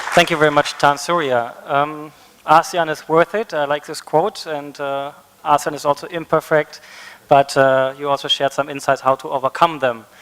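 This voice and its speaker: With a German accent, the speaker keeps a moderate pace and fairly even intonation, the sound dry and close with no echo. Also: man, fairly high pitch for a man. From Germany. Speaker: conference facilitator. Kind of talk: panel moderation. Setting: conference stage with audience.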